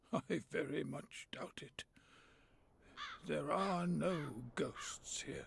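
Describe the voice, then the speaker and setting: In a put-on character voice, a man speaks very slowly and raspily, with long, frequent pauses. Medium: video game. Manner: formal, reserved.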